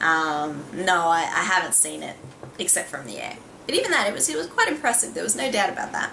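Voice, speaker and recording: Over noticeable background noise and audible room echo, a woman speaks at a fairly quick pace with big swings in loudness. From Australia. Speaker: beauty vlogger. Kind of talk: casual vlog talk.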